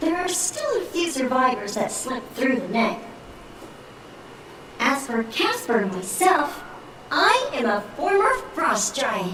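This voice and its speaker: A female-sounding put-on character voice, high-pitched and amused, makes very wide pitch swings with long, frequent pauses. Clear echo and clear background noise fill the recording. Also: fairly slow pace. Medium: video game. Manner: polite, slyly amused.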